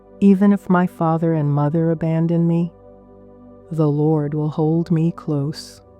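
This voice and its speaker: The voice moves at a very slow pace in a monotone, flat intonation, with music in the background. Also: woman. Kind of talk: scripture reading for sleep. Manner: slow, calming.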